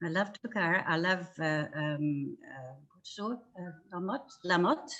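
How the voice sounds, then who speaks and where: A woman's fairly low voice with a Dutch accent, fairly slow in pace, lively in intonation, with big swings in loudness. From Netherlands. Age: 70s. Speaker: furniture restorer. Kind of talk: interview. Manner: halting, many fillers.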